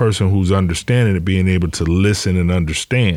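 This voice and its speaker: A man's voice with an American accent in a very clean recording, silent background. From Detroit. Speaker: professional storyteller and podcaster. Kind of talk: interview. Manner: slow; halting, repeats words.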